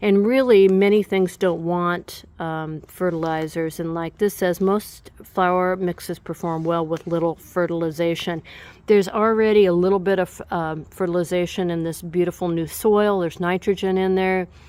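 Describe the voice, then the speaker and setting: Here a woman has an unremarkable speaking voice, pitched fairly low. She keeps a moderate pace and fairly even intonation. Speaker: gardening youtuber. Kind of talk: tutorial.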